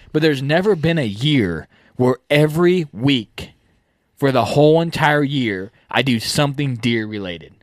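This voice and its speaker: Lively intonation marks a man's fairly high voice at a moderate pace. It is a normal speaking voice, in a very clean recording with a silent background. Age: 20s. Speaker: deer hunting podcast host. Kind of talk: casual chat.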